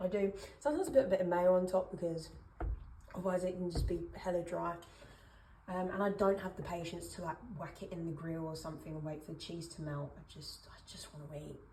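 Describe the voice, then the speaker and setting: Fairly quick, fairly even-toned speech from a woman with a fairly low pitch, amid audible room echo and noticeable background noise. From Essex, England. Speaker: cooking vlogger. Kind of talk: casual cooking vlog. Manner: rambling, chatty with frequent fillers.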